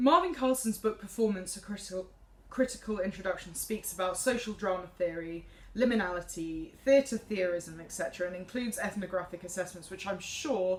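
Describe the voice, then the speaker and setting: Speaking at a fairly quick pace with a southern English accent, a woman of medium pitch shows ordinary pitch variation and big swings in loudness. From England, Cambridge. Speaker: music student, soprano singer. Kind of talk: class presentation. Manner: halting.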